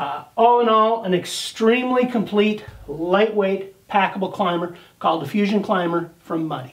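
Here a man speaks at a moderate pace in a high pitch with ordinary pitch variation. The background is quiet. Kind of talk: product demonstration.

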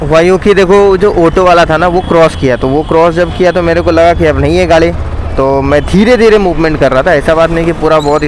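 At a moderate pace, a man speaks over light background noise in a dry recording with no echo. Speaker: bike taxi rider vlogger. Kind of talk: casual vlog chat. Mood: rueful after small accident. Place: motorbike.

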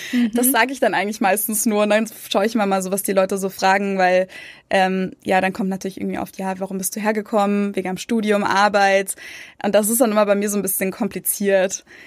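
A woman speaks in a medium pitch. Her intonation is monotone and flat. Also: fairly quick pace. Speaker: YouTuber and emigrant. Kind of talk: casual interview chat.

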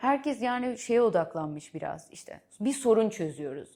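At a moderate pace, the voice has a dark, mellow tone and very wide pitch swings. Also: woman. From Netherlands. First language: Dutch (speaking Turkish). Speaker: venture capital investor. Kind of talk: interview. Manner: halting, with fillers.

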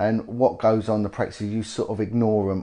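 A man with a British accent. His tone is dark and mellow. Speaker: former police detective and campaigner. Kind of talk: interview. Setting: indoor location in North London.

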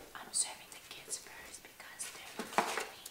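Soft-spoken whispering at a fairly slow pace. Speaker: family vlogger. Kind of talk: casual vlog chat. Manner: soft ASMR whisper while serving. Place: home room. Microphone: camera far.

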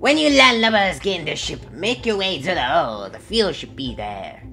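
A put-on character voice at a middle pitch, moderate pace, with clear music in the background. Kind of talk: in-game character dialogue.

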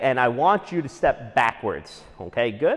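Here a man speaks at a moderate pace. His pitch swings very widely. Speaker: fitness coach. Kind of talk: workout instruction.

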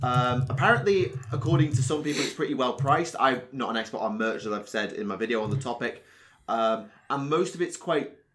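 A man with a British accent talks at a moderate pace. His medium pitch carries lively intonation. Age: 20s. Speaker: podcast host. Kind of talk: casual chat. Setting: video call.

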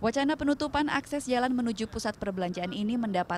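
Very fast speech over noticeable background noise. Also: woman. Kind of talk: news reading. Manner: formal, measured, steady newsreader delivery; clear, even and authoritative, voice-over narration pace.

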